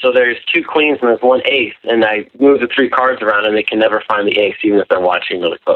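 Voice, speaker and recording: A man with an American accent talks at a very fast pace, with hardly any pauses. His pitch is medium with ordinary variation, and his loudness stays very even. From Wisconsin. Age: 20s. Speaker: caller, magician. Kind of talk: call-in conversation. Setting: phone call.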